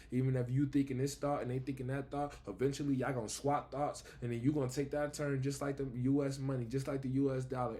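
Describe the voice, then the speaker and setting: A man's dark, mellow, somewhat breathy voice at medium pitch, monotone and flat, at a very fast pace. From Buffalo, New York, US. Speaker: vlogger. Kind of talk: casual spiritual monologue.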